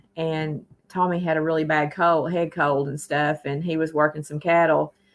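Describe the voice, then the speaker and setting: A woman with a Tennessee accent, very deep and low in pitch, at a fairly slow pace. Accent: US Southern (Tennessee). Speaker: livestream host. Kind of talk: casual livestream chat. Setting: live stream.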